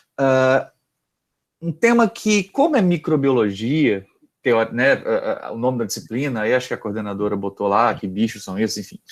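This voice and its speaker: This man's voice sits at a medium pitch yet makes very wide pitch swings. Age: 30s. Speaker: university lecturer. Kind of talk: lecture. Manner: fast; halting.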